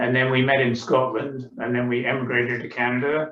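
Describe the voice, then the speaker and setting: A man speaks at a fairly quick pace with a medium pitch. His intonation is flat and monotone. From England. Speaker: author. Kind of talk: book club discussion. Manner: hesitant, many filler sounds.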